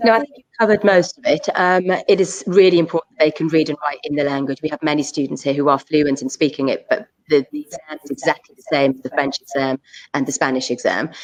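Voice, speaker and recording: With a Welsh accent, a woman talks at a very fast pace in a very deep, low pitch. The sound is dry and close with no echo, and loudness swings widely. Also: lively intonation. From South Wales. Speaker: school assistant principal. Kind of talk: school options evening Q&A. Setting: live online session.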